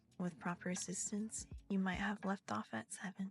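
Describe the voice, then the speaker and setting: Over music in the background, a soft-spoken woman whispers in a soothing tone. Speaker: ASMR reader / streamer. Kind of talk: bedtime story reading, ASMR. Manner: soft, whispery, soothing.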